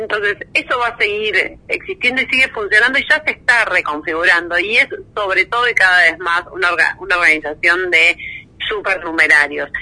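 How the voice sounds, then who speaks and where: A woman talks at a fairly quick pace in a Rioplatense accent, her medium-pitched voice bright and sharp. Her intonation is lively. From Argentina, Buenos Aires province (conurbano). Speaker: investigative journalist. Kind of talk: interview.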